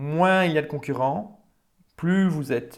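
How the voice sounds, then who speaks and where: A man speaks at a fairly slow pace with ordinary pitch variation. The recording is very clean, with a silent background. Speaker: business coach. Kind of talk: tutorial. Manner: halting, many fillers.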